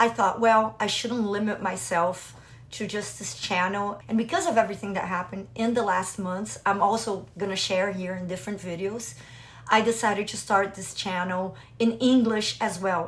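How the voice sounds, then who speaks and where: Loudness rises and falls sharply as the speaker keeps a moderate pace and ordinary pitch variation. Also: woman, medium pitch for a woman. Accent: slight Brazilian. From Brazil. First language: Portuguese. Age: 40s. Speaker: business mentor for doctors and IVF patient. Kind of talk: personal vlog talk to camera.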